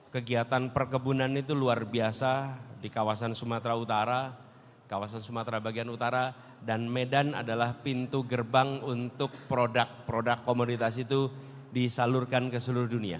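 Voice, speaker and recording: A man's monotone, flat intonation holds at a moderate pace. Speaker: politician answering an audience. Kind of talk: public speech answer. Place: hall. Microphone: handheld.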